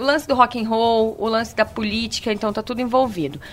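This woman talks at a fairly quick pace, her pitch fairly high. She has a plain, everyday voice. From Vitória, Espírito Santo, Brazil. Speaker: podcast guest. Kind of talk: casual chat.

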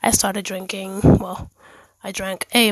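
A woman's medium-pitched, monotone, flat voice at a fairly slow pace, dry and close with no echo. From Dominican heritage, born in Germany. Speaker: faith podcaster. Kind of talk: personal monologue. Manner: pausing for breath.

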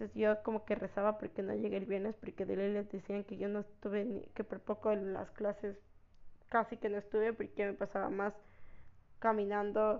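Her intonation monotone and flat, a woman talks at a medium pitch. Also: moderate pace. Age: 20s. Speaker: podcast host, university student. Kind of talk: personal storytelling monologue. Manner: casual, hesitant with many fillers.

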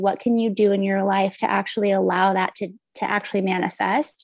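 Using monotone, flat intonation, a woman speaks at a fairly quick pace with an American accent. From Texas. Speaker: video producer and coach. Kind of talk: casual interview chat.

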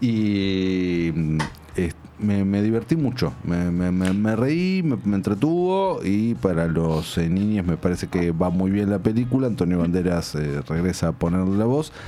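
Lively intonation and very even loudness carry speech at a fairly slow pace. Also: man, very deep, low pitch for a man. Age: 30s. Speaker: film critic. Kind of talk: casual chat.

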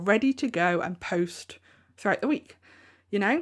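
Lively intonation marks this woman's speech, in a plain, everyday voice. She has a medium pitch and a moderate pace. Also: very clean recording, silent background. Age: 30s. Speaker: podcast host and handmade business coach. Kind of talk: solo podcast monologue. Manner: casual, conversational.

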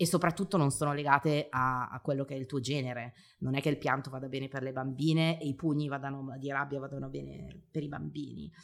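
Speaking at a very fast pace, a woman uses a very deep, low pitch with vocal fry and fairly even intonation. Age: 40s. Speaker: marketing professional and parenting influencer. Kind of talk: interview. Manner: talkative.

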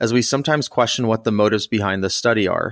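A man's plain, everyday voice at medium pitch with ordinary pitch variation, dry and close with no echo, on a very clean recording with a silent background. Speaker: podcast host, emergency physician. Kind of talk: podcast discussion of a medical study, casual but informed.

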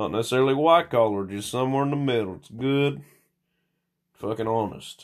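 A man in a Southern US accent talks at a fairly quick pace and medium pitch, with lively intonation. Long, frequent pauses break up his speech, and his loudness swings widely. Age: 40s. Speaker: former teacher, solo podcaster. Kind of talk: casual rambling monologue, profane. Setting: home recording, solo. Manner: rambling, crude, halting.

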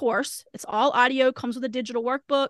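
A woman talks at a fairly quick pace with a high pitch and a bright, sharp tone. The background is quiet, and the sound is dry and close, with no echo. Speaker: podcast host and education consultant. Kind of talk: casual interview chat. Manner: fast talker.

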